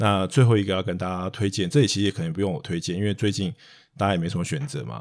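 A man talks at a very fast pace with lively intonation and a fairly low pitch. The recording is very clean, the background silent. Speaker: investment podcast host. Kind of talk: casual chat.

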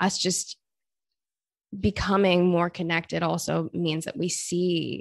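A woman's fairly low voice with vocal fry, fairly even intonation, a fairly slow pace and a quiet background. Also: dry, close sound with no echo. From Australia. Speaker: author and cultural critic. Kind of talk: interview.

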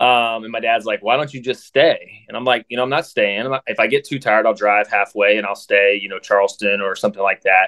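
Someone with an American accent speaks at a very fast pace with hardly any pauses. The pitch varies in an ordinary way. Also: man, medium pitch for a man. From Ohio, south of Columbus. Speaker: podcast host's boyfriend. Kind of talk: casual interview.

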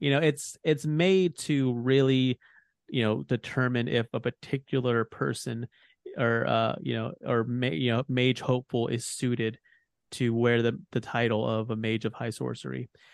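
Speaking at a moderate pace with ordinary pitch variation, a man uses an ordinary speaking voice at a medium pitch. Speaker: podcast host. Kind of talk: casual informative chat.

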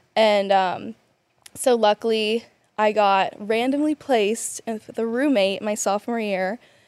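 An unremarkable speaking voice from a woman with an American accent, fairly high-pitched, fairly slow, with fairly even intonation and a dry, close sound with no echo. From US South; South Carolina. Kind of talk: casual interview chat. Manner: casual, laughs often.

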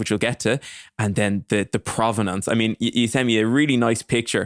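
In a very clean recording with a silent background and a dry, close sound with no echo, a man uses an ordinary speaking voice at a fairly low pitch. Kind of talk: casual interview chat.

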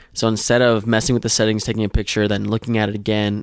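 A man with a fairly low pitch talks at a fairly quick pace using a normal speaking voice and fairly even intonation, in a very clean recording with a silent background. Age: 20s. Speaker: photographer. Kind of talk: casual interview.

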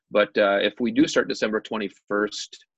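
A man's fairly low-pitched voice with an American accent. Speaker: high school basketball coach.

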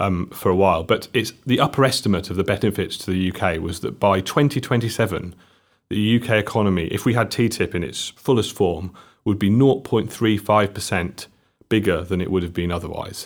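In a very clean recording with a silent background, a man with a South Wales accent speaks at a fairly low pitch with ordinary pitch variation. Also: moderate pace. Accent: Welsh, South Wales. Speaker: trade policy expert. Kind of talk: podcast interview. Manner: hesitant, halting.

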